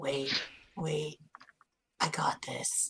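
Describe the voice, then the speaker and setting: This is a put-on character voice, delivered in a whisper. It sounds raspy. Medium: actual play. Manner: casual slangy, says bruh and buddy.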